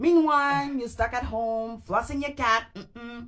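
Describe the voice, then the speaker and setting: A fairly slow woman with a non-native accent, high pitch and ordinary pitch variation. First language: not English. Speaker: actor auditioning. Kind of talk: livestream reading with commentary.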